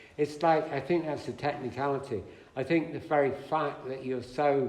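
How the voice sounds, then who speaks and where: Over noticeable background noise and audible room echo, a man with an English accent speaks at a fairly high pitch. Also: moderate pace. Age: 70s. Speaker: speaker on spiritual teachers. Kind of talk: talk to an audience, conversational. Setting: hall with audience. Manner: animated.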